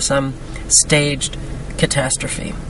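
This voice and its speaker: A speaker with an American accent is heard against noticeable background noise. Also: woman. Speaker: conspiracy video blogger. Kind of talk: reading aloud and commenting on an article.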